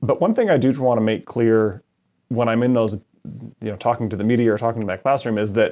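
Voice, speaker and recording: A man with a Canadian accent, at a very fast pace, medium pitch and fairly even intonation. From Canada. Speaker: supply chain management center director. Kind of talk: interview.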